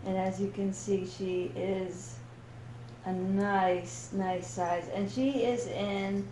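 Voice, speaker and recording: A woman at a very slow pace, with noticeable background noise and audible room echo. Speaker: doll collector YouTuber. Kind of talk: casual unboxing vlog. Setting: dining room at home. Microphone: echo in the room.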